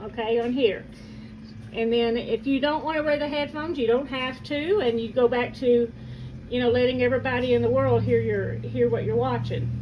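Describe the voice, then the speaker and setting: Moderate pace against noticeable background noise. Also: woman. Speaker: family caregiver. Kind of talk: casual talk to camera.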